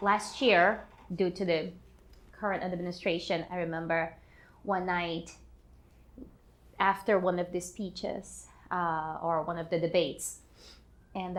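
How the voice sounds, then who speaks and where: In a Portuguese accent, a woman with a fairly low pitch speaks fairly slowly in a monotone, flat delivery, taking long, frequent pauses. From Brazil, São Paulo. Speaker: artist and activist. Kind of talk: personal testimony.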